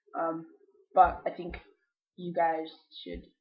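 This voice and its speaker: The man here has a high-pitched voice. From Australia. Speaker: vlogger. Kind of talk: casual vlog monologue. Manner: rambling with many fillers (um).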